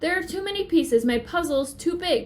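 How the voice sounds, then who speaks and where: A woman's put-on character voice, extremely high in pitch, at a fairly quick pace. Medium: read story.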